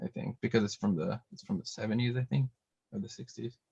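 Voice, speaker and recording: A man speaks at a medium pitch and sounds somewhat breathy. The sound is dry and close, with no echo. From Brazil. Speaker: DJ and music producer. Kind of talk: interview. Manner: halting, many fillers and repetitions.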